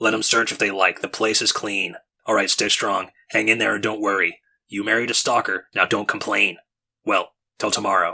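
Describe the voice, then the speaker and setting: A man does a put-on character voice that is raspy, with a medium pitch. He keeps a moderate pace. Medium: read story. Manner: clipped, gruff; cheerful, glib.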